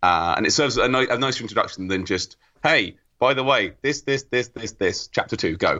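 This man speaks in an English accent at a fairly quick pace. His pitch is medium and his intonation lively. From England. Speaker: podcast panelist. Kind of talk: casual chat.

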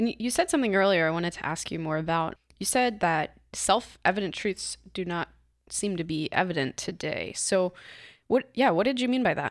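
A woman at medium pitch and a moderate pace, with ordinary pitch variation and an unremarkable speaking voice. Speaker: podcast producer and guest host. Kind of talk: casual chat. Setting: studio.

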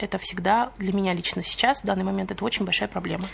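A woman talks at a very fast pace with vocal fry. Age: 20s. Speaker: podcast co-host, mother on maternity leave. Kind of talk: casual chat.

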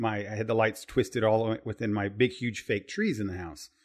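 In an American accent, a man talks at a moderate pace and medium pitch with fairly even intonation. It is an ordinary speaking voice over a quiet background. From Southern Indiana. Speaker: podcast host. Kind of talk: casual chat.

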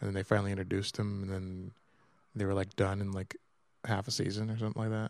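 At a very fast pace, a man speaks in monotone, flat intonation with a fairly low pitch. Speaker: podcast co-host. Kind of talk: casual chat. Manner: sounds dejected (per co-host).

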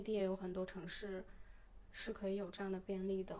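A woman at a moderate pace. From mainland China. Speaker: podcast host. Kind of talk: casual chat.

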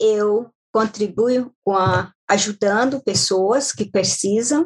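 The sound is dry and close with no echo. A woman speaks very slowly at a fairly high pitch. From Brazil, Maranhão (Baixada Maranhense). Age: 40s. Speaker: caregiver and domestic assistant. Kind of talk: podcast interview. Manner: halting.

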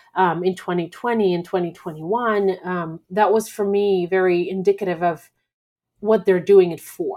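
In a very clean recording with a silent background, a woman with a Russian accent and a dark, mellow tone speaks at medium pitch, at a moderate pace, with fairly even intonation. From Belarus. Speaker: podcast host. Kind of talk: solo monologue. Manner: halting, many fillers.

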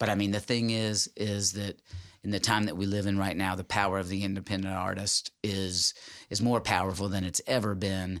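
A man with a Tennessee accent speaks at a moderate pace in a fairly low pitch, his intonation flat and monotone, on a very clean recording with a silent background. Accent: Southern US (Tennessee). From Tennessee (Jackson, West Tennessee). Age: 40s. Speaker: musician. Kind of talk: casual chat.

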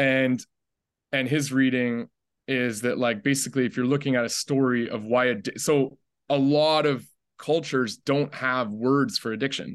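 A man with a Canadian accent has an ordinary speaking voice, medium pitch and fairly even intonation, speaking at a moderate pace against a quiet background. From Canada, Ottawa (raised there from age five). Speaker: documentary filmmaker. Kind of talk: casual interview.

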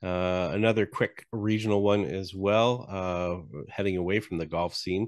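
A man with an unremarkable speaking voice talks at a fairly slow pace against a quiet background. His pitch is fairly low and his intonation fairly even. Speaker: podcast host, interviewer. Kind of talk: casual chat.

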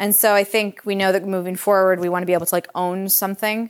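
Here a woman with a Michigan accent talks at a fairly quick pace. Her voice sits at a medium pitch. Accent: Michigan (Inland North) American. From US Midwest, Metro Detroit, Michigan. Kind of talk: author talk to a live audience. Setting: kitchen of a cookbook shop with audience.

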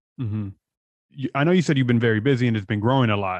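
A man's medium-pitched voice with a Californian accent and ordinary pitch variation. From San Diego, California. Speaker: podcast host. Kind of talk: casual interview.

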